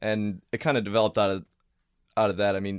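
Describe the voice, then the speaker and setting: A fairly low-pitched male voice at a fairly quick pace. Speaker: student soccer club communications director. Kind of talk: casual interview.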